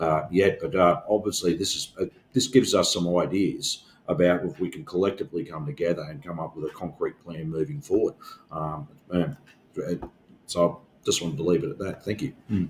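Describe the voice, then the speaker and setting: A man with an Australian accent speaks fairly quickly in a very deep, low pitch. His intonation is lively, and his loudness swings widely. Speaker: union organizer and podcast co-host. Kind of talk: casual discussion. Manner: halting, many fillers.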